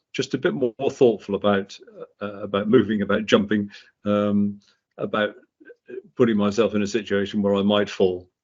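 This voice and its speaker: A man speaks at a moderate pace in a fairly low pitch, with monotone, flat intonation. He leaves long, frequent pauses. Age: 70s. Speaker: patient sharing personal story. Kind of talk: interview. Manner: halting, many fillers and repetitions.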